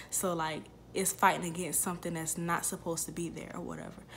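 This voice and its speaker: Quiet and fairly low in pitch, a woman speaks over light background noise. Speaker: YouTuber, mother; YouTuber. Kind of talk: casual Q&A vlog. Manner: quiet, subdued speaking; hesitant, many fillers. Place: home room. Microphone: phone near.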